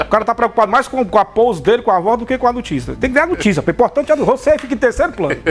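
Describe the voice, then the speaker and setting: Very fast speech with lively intonation and hardly any pauses, over noticeable background noise. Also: man, extremely high pitch for a man. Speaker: radio news presenter. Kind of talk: casual on-air chat. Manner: conversational.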